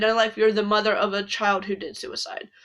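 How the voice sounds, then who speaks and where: The woman's voice is fairly high-pitched, with a bright, sharp tone. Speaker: spiritual content creator. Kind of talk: casual monologue.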